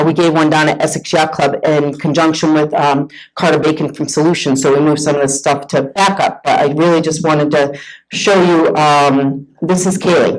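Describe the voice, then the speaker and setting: In a Boston accent, a woman speaks at a moderate pace with a very deep, low pitch, very even loudness and monotone, flat intonation. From Massachusetts, north of Boston. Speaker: sailor and boat owner. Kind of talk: presentation talk.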